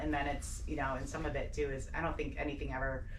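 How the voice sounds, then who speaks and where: Talking very fast in an American accent, a woman is heard with audible room echo and noticeable background noise. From Portsmouth, New Hampshire, US. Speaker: police detective. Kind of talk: radio interview. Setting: radio studio. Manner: animated.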